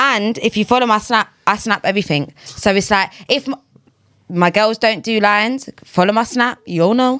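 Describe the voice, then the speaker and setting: A woman with fairly high pitch speaks at a moderate pace with ordinary pitch variation and very even loudness, in a dry, close sound with no echo. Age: 20s. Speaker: podcast guest. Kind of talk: casual chat. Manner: animated.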